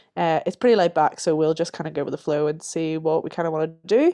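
A woman with a Northern Irish accent speaks in a very deep, low register, her tone dark and mellow, recorded dry and close with no echo. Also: quiet background. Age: 20s. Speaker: podcast co-host, drama student. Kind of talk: casual chat.

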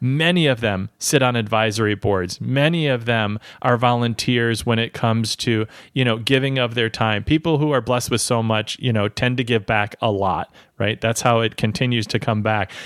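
A man with an American accent talks at a moderate pace in a normal speaking voice, medium in pitch with ordinary pitch variation. Loudness stays very even, and the recording is very clean, with a silent background and a dry, close sound with no echo. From US Midwest. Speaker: podcast host. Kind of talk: interview.

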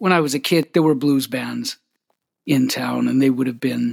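Here a man speaks at a moderate pace. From Canada, Winnipeg. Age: 50s. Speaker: harmonica player and singer-songwriter. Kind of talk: casual interview.

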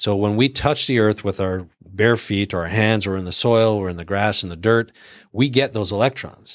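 In a very clean recording with a silent background, a man talks fairly quickly in an unremarkable speaking voice. His pitch is fairly low with ordinary pitch variation. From Canada. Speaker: chiropractic clinic owner, health practitioner. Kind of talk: casual chat.

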